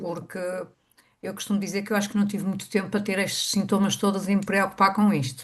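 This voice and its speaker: A woman's medium-pitched voice with a European Portuguese accent. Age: 60s. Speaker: workshop attendee. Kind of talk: personal testimony. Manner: halting.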